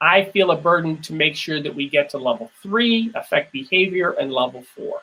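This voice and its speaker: With a bright, sharp tone and an American accent, a man talks at a high pitch and a moderate pace with lively intonation. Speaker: keynote speaker, former theme park company leader. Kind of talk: lecture.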